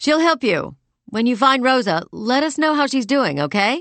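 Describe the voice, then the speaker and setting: This is a put-on character voice with a fairly high pitch. It sounds strained and moves at a moderate pace. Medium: read story. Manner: strained, trying to sound calm.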